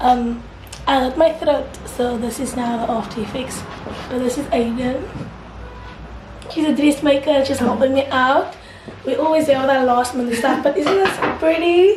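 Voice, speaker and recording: Amid noticeable background noise and audible room echo, a woman speaks at a high pitch and moderate pace, with ordinary pitch variation and long, frequent pauses. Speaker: lifestyle vlogger. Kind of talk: casual vlog talk.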